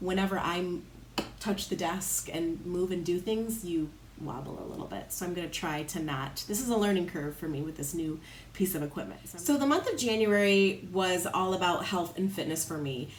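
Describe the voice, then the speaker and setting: A woman talks at a fairly quick pace with a fairly low pitch and ordinary pitch variation. Room echo is audible. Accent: Midwestern American. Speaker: lifestyle vlogger. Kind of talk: casual vlog talk. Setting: home, in front of a window. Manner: animated.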